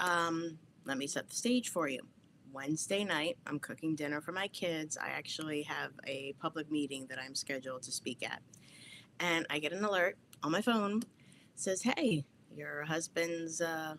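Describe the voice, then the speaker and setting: A woman with a New Jersey accent and a very deep, low pitch talks in an animated tone at a moderate pace with ordinary pitch variation. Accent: New Jersey American. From New Jersey, US. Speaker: podcast host. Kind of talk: livestream talk. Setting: home basement.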